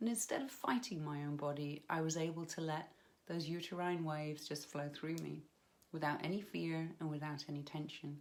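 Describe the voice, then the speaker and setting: A woman with a British accent speaks at a moderate pace in a very deep, low pitch, her intonation fairly even. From United Kingdom. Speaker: hypnobirthing practitioner. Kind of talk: personal story to camera.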